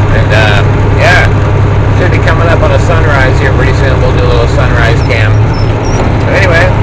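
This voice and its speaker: Loud background noise behind a man talking at a fairly quick pace. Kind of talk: casual vlog chat. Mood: upbeat, playful. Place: car. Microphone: phone near.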